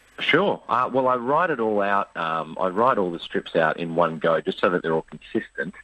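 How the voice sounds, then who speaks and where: A man with an Australian accent and a fairly low pitch speaks at a moderate pace with lively intonation and hardly any pauses. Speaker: cartoonist. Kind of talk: radio interview.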